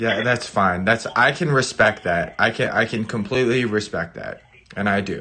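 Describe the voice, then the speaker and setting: A loud man's voice at medium pitch, with ordinary pitch variation and a moderate pace. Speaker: gaming YouTuber. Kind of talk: casual chat on live stream. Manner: animated, all over the place.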